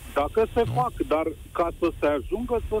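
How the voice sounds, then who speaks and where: Here a man is talking. His delivery is rather unhurried. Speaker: caller, business owner. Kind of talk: radio phone-in. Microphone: too quiet.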